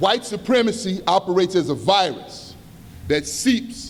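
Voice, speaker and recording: Amid noticeable background noise, a man with a high voice speaks at a moderate pace with lively intonation. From Chicago South Side, US. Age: 50s. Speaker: community organizer and activist. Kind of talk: conference speech. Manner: impassioned, emphatic.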